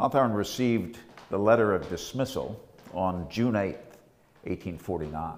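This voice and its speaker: Long, frequent pauses, a fairly slow pace and ordinary pitch variation. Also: man, fairly low pitch for a man. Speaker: lecturer. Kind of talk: scripted academic lecture narration, with a Hawthorne passage read aloud. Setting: on location in the Salem Custom House. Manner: measured, formal, even-paced. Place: home room. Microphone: lapel.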